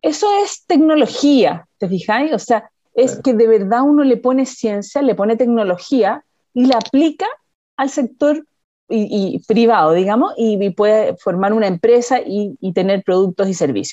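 At a fairly slow pace, a woman with a Chilean accent speaks with lively intonation and a fairly high pitch. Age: 50s. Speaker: biotechnology research executive. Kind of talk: interview.

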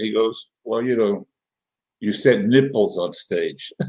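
In a normal speaking voice of medium pitch, a man talks with lively intonation. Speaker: podcast host. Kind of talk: casual chat interview. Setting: video call.

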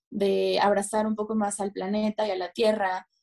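A woman's medium-pitched voice, fairly slow, with monotone, flat intonation. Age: 20s. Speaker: fashion journalist. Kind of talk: interview.

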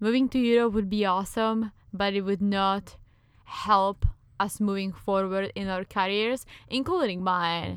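The pace is fairly slow and the intonation fairly even. It is spoken with a Czech accent. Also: woman. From Czech Republic. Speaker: podcast co-host. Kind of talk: casual chat.

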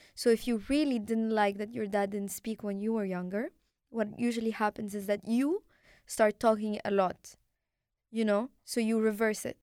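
A woman's fairly high voice with an Arabic accent, fairly even in intonation and moderate in pace, dry and close with no echo on a very clean recording with a silent background. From Morocco. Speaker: podcast host. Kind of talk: interview.

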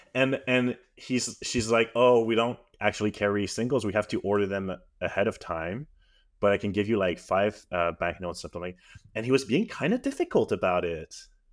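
A man with a normal speaking voice and a medium pitch moves along at a fairly quick pace, his pitch varying in an ordinary way. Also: very clean recording, silent background. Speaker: podcast host. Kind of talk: casual chat.

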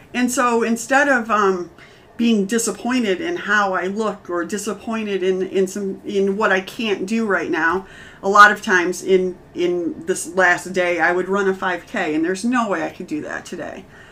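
An unremarkable speaking voice comes from a woman at medium pitch, with ordinary pitch variation and a moderate pace. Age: 40s. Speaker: podcast host, cancer survivor. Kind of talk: casual chat.

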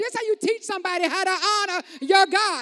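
Speaking at a moderate pace, a woman sounds animated, her voice pitched extremely high. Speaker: preacher. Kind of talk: sermon. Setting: church. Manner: call-and-response, conversational.

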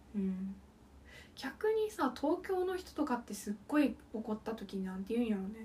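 A woman speaks at a moderate pace in a fairly high voice with a dark, mellow tone. Her pitch swings very widely. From Okayama, Japan. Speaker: podcast co-host. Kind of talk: casual chat.

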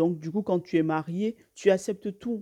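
Over a quiet background, a woman with a fairly low pitch and a dark, mellow tone talks at a moderate pace, the sound dry and close with no echo. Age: 20s. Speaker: YouTuber. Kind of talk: casual vlog monologue. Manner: halting, many repetitions and fillers.

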